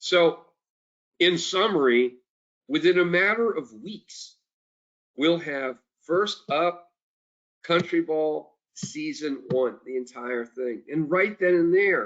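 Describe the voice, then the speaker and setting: This loud voice has lively intonation and moves at a very slow pace, broken by long, frequent pauses. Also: man, high pitch for a man. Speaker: company executive. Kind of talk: investor briefing. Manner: animated. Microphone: switched off headset mic, speaking without it.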